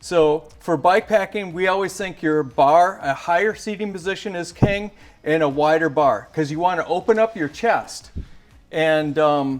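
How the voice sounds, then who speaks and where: The man's voice sits high in pitch, with ordinary variation. He keeps a moderate pace. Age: 60s. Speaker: bike gear company founder. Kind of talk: product tutorial. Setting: bike shop.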